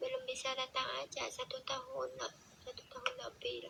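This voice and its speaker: A woman with a Vietnamese accent at a moderate pace. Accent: Vietnamese accent in Indonesian. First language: Vietnamese (speaking Indonesian). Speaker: TikTok live streamer. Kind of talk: casual chat. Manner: halting.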